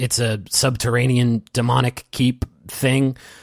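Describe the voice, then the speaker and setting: A raspy, put-on character voice with a dry, close sound and no echo. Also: man. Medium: actual play. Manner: stammering, nervous.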